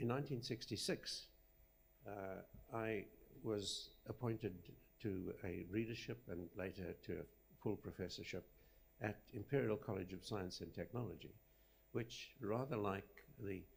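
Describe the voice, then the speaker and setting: A man speaks fairly slowly in a somewhat breathy voice at a fairly low pitch, with ordinary pitch variation and long, frequent pauses. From Zimbabwe, studied in South Africa. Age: 80s+. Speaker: rock engineering professor. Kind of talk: acceptance lecture. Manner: halting.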